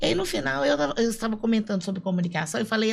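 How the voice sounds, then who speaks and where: A somewhat breathy woman's voice, animated in tone with lively intonation, on a very clean recording with a silent background. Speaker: podcast co-host, speaker. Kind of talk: casual podcast conversation.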